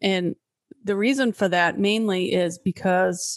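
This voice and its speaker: Against a quiet background, a woman speaks at a medium pitch in an unremarkable speaking voice with fairly even intonation. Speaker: podcast host, business manager. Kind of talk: casual conversational podcast.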